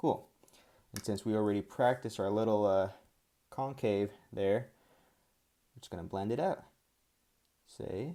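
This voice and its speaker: A man with a non-native accent speaks at a moderate pace in a dark, mellow tone of fairly low pitch, with ordinary pitch variation, big swings in loudness and long, frequent pauses. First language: not English. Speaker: art tutorial creator. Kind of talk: tutorial. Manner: casual, laid-back; halting, filler-heavy.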